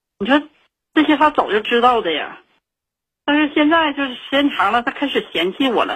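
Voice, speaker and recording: The speech moves at a fairly quick pace but breaks into long, frequent pauses. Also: woman, high pitch for a woman. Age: 40s. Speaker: caller. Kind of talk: phone-in personal story. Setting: phone call. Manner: halting, many fillers.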